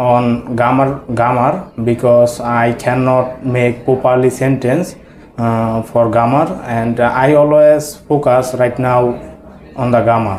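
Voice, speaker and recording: A man with a Bengali accent talks at a very slow pace amid noticeable background noise and audible room echo. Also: medium pitch for a man, fairly even intonation. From Bangladesh. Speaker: English language student. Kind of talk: mock speaking test interview. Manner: halting, many hesitations.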